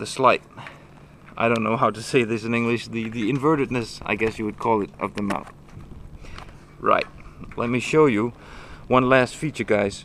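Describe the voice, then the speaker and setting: A man with a Danish accent at a medium pitch and a moderate pace, fairly even intonation and long, frequent pauses. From Denmark. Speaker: motorcycle video blogger. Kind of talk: tutorial. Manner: halting.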